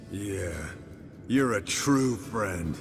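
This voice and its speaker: A man puts on a raspy character voice, fairly low in pitch, with lively intonation. Clear background noise runs behind him. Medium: video game. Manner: gruff, dry.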